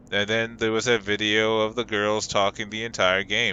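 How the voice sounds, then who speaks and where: At a fairly low pitch, a man talks at a moderate pace. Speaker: gaming streamer. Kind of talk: rant to camera.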